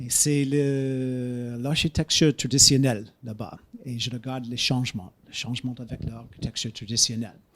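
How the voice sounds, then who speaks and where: A man with an English accent talks at medium pitch and moderate pace. His intonation stays fairly even while his loudness swings a lot. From United States. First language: English (speaking French). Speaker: geography professor. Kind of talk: lecture. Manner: halting, many hesitations.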